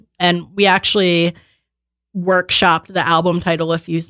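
The recording is very clean with a silent background, and the sound is dry and close with no echo. A woman speaks at a moderate pace in a fairly low pitch, her intonation monotone and flat. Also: very even loudness. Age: 20s. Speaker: musician, band drummer. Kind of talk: casual interview chat. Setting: studio.

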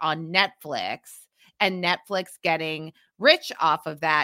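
A woman speaks with a bright, sharp tone. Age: 40s. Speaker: podcast host. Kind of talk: casual chat.

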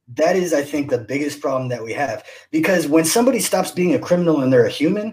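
A man speaks at a fairly high pitch, his voice somewhat breathy with a dark, mellow tone and lively intonation. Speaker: podcast co-host. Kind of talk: casual interview chat. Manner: joking, animated.

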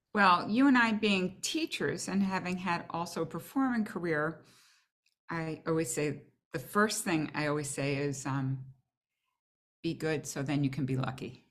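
Using a normal speaking voice, a woman with a fairly low pitch talks at a moderate pace with lively intonation. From Boston. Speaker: orchestral flutist and teacher. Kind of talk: casual interview chat.

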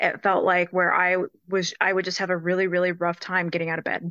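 In a dry, close sound with no echo and a quiet background, a woman with an American accent uses a bright, sharp tone and monotone, flat intonation. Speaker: foster care adoptee. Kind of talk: casual group discussion. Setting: video call.

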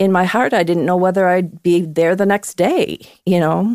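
A woman talks at a moderate pace in a normal speaking voice, her intonation fairly even. The recording is very clean with a silent background, and the sound is dry and close with no echo. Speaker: podcast guest, host's mother. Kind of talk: casual chat.

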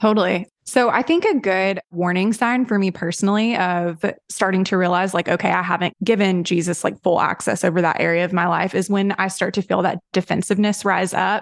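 At a fairly quick pace, a woman with a Southern US accent speaks with fairly even intonation and very even loudness, the sound dry and close with no echo over a quiet background. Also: medium pitch for a woman, hardly any pauses. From Tennessee, US South. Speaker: digital marketing director. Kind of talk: casual chat.

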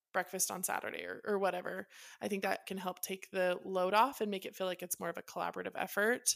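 A woman talks at a very fast pace with flat, monotone intonation and vocal fry. The recording is very clean, with a silent background. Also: medium pitch for a woman. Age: 30s. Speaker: podcast co-host. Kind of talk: casual chat.

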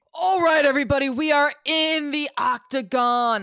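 A put-on character voice, pitched high and sounding strained. It moves at a moderate pace. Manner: strained, forced put-on announcer voice.

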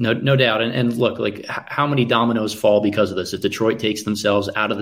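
With fairly even intonation, a man talks at a fairly quick pace in an unremarkable speaking voice. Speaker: basketball draft analyst. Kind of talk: casual live draft commentary.

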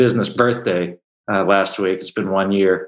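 A plain, everyday voice from a man with a fairly low pitch, fairly even intonation and an American accent. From Baltimore, US. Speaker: jazz musician and entrepreneur. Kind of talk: casual interview.

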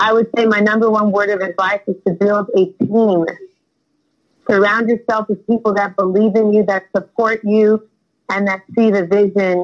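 A woman with an American accent, monotone, flat intonation and very even loudness. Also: medium pitch for a woman, moderate pace. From US West Coast: San Fernando Valley, Southern California. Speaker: singer-songwriter. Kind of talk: interview. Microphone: audio delay on her connection.

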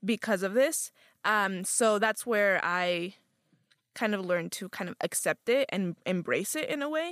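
A woman with a normal speaking voice and a medium pitch speaks at a fairly slow pace with lively intonation. The very clean recording has a dry, close sound with no echo and a silent background. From Utah, US (born in Guadalajara, Mexico). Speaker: college student organizer. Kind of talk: casual interview.

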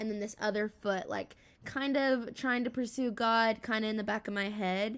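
On a very clean recording with a silent background, a woman with an ordinary speaking voice and fairly high pitch talks at a moderate pace with fairly even intonation. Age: young. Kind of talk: casual chat. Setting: call.

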